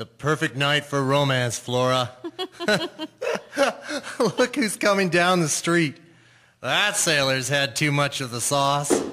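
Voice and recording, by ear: A man does a put-on character voice, fairly high-pitched, with a bright, sharp tone and lively intonation. He goes at a slow pace with long, frequent pauses.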